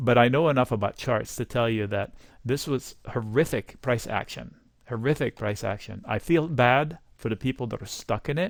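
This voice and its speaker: The recording is very clean, with a silent background. A man with a slight non-native accent speaks at a medium pitch and moderate pace, with ordinary pitch variation. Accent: slight foreign. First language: not English. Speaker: stock market commentator. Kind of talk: market analysis monologue. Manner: casual, conversational.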